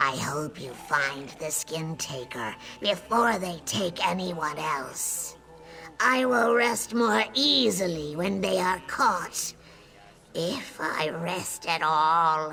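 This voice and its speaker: Here is a put-on character voice at a middle pitch. It moves at a very slow pace. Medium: video game. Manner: nervous, fearful.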